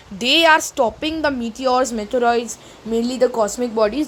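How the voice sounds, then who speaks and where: With an Indian accent and high pitch, a woman speaks at a moderate pace amid noticeable background noise. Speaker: teacher. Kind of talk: lecture.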